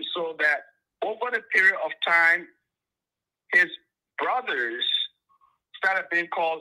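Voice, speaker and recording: In a quiet background, a man speaks with a high pitch and a bright, sharp tone. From Liberia. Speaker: caller. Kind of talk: phone-in call.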